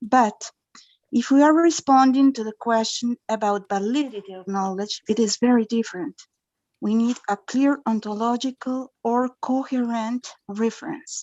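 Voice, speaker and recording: A woman with a Spanish accent, fairly high-pitched, at a moderate pace. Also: ordinary pitch variation. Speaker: conference attendee asking a question. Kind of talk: academic Q&A. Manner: halting.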